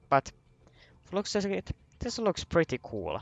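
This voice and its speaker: This man speaks with a non-native accent. His pitch moves in an ordinary way. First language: not English. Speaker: gaming video creator. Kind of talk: casual game review commentary. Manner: halting, many restarts and fillers.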